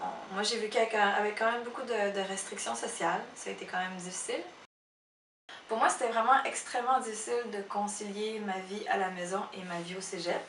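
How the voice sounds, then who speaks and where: A woman of medium pitch at a fairly quick pace, her intonation fairly even, with audible room echo. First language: Khmer (speaking French). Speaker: illustrator and photo editor. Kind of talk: interview testimony. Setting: her office. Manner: halting, many hesitations.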